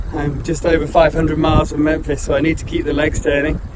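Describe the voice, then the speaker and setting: Noticeable background noise sits behind the voice. The delivery is fairly quick, with monotone, flat intonation. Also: man. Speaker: adventurer on a bike tour. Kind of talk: video diary talk to camera. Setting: outdoors.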